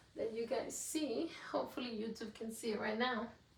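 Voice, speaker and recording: A woman with a Mexican accent talks at a moderate pace. Her pitch is fairly high, with ordinary variation. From Mexico, Juarez. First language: Spanish. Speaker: podcast host. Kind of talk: casual solo podcast talk. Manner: candid, unscripted.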